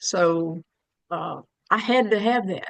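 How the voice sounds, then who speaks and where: A woman speaks very slowly, her pitch medium and its variation ordinary. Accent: Southern US. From US South, Birmingham, Alabama. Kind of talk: casual chat.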